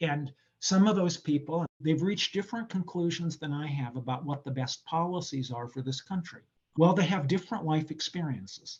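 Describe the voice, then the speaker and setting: An unremarkable speaking voice, a man with an American accent, fairly high in pitch, with ordinary pitch variation. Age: 60s. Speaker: political science professor. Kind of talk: interview answer. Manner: reflective.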